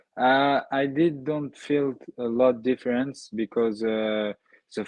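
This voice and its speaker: In a French accent, a man speaks at a medium pitch with fairly even intonation. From France. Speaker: MMA fighter. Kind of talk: interview. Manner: halting.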